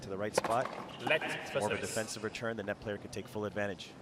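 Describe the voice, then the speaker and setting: There is noticeable background noise. A fairly low-pitched man talks at a very fast pace. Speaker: tennis commentator. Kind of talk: live sports commentary, expert analyst reel.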